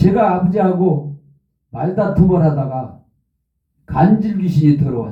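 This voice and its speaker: A man with a high pitch and a dark, mellow tone speaks at a fairly slow pace. He pauses long and often. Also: ordinary pitch variation. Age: 70s. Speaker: pastor. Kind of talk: sermon.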